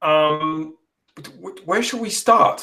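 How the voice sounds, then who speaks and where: A man with an Australian accent, fairly high-pitched for a man, at a moderate pace. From Australia, Adelaide. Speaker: podcast host. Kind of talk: podcast interview.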